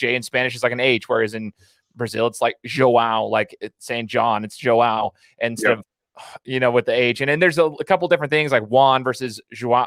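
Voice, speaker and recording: Speaking at a fairly quick pace, a man has an unremarkable speaking voice of medium pitch with ordinary pitch variation, recorded with a dry, close sound and no echo. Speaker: podcast host. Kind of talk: interview host.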